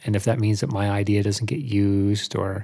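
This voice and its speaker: A fairly low, somewhat breathy male voice with an American accent, monotone and flat in intonation, at a moderate pace, on a very clean recording with a silent background. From Albany, New York, US. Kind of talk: casual chat.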